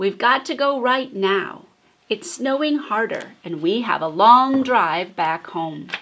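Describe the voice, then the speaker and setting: A female-sounding put-on character voice, fairly high in pitch, at a fairly slow pace. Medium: read story.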